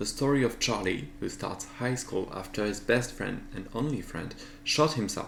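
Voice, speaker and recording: A man speaks in a French accent at a moderate pace, with ordinary pitch variation. Audible room echo surrounds the voice. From France. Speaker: artist and video creator. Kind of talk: casual vlog narration.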